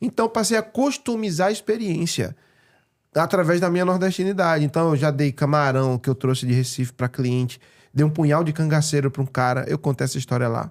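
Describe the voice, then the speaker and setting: With a Pernambuco accent, a man talks at a fairly quick pace in a fairly high pitch, his intonation lively and his loudness very even, on a very clean recording with a silent background. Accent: Pernambuco accent, noticed by others. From Pernambuco, northeast Brazil. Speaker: real estate broker and speaker. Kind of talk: podcast interview. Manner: animated.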